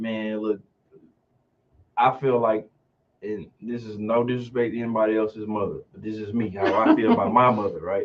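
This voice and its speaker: Speaking with a Southern US accent at a medium pitch, a man delivers flat, monotone lines at a moderate pace, with long, frequent pauses and big swings in loudness. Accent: Southern twang. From Mississippi.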